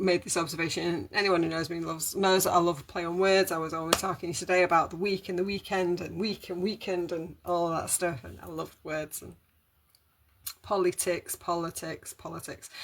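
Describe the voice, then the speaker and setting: With a British accent, the speaker talks fairly quickly. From Britain. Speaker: holistic wellbeing live streamer. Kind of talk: casual live stream monologue. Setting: live stream. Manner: rambling, hesitant with fillers.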